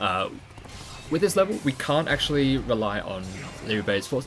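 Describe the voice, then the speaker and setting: A man speaks with an Australian accent at a fairly quick pace. Music plays in the background. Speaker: video game speedrunner streamer. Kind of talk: live gameplay commentary. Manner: casual, filler-heavy explanatory.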